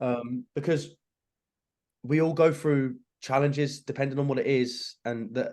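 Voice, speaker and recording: A man speaks at a moderate pace with a fairly high pitch and ordinary pitch variation. The background is quiet. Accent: Yorkshire. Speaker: actor and social media creator. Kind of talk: casual chat.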